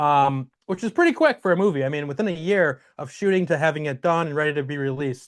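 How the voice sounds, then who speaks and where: A man speaks at a very fast pace with hardly any pauses. His pitch is fairly high with ordinary variation, and the background is quiet. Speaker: film director. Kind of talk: interview.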